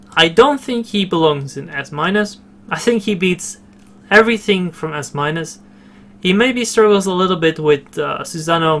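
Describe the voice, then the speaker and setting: A man with a non-native accent and lively intonation at a moderate pace, over noticeable background noise. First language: not English. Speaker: gaming video creator. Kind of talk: game tutorial commentary. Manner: halting, many fillers and repeats.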